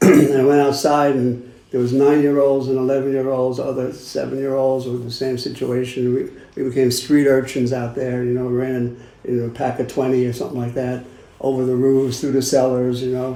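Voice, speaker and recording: A man with a Brooklyn accent talks at a fairly quick pace and medium pitch, monotone and flat in intonation, with audible room echo. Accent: New York (Brooklyn). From Brooklyn, New York. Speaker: recovering addict sharing at a meeting. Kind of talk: recovery meeting share.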